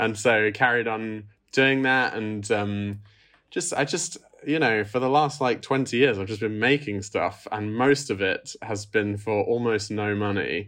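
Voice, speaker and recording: Against a quiet background, a man with an English accent talks at a fairly slow pace and medium pitch. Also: ordinary pitch variation. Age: 30s. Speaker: film director. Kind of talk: interview.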